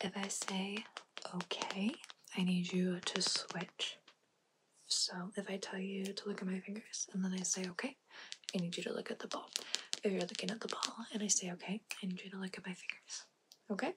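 A woman's monotone, flat delivery with long, frequent pauses over loud background noise. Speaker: ASMR creator. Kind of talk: ASMR roleplay, personal attention, direct instructions. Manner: fast, direct, commanding. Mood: playful, teasing. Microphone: studio mic.

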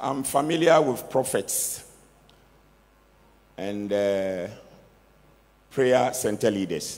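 A man speaks at a slow pace with lively intonation, his voice fairly low-pitched and slightly mellow, with audible room echo around it.

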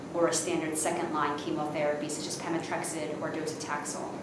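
Very fast speech with noticeable background noise and audible room echo. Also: woman. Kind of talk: interview answer. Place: hall.

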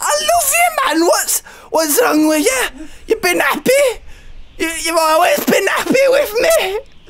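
A cartoonish character voice at an extremely high pitch speaks at a fairly slow pace over clear background noise. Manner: pleading, earnest.

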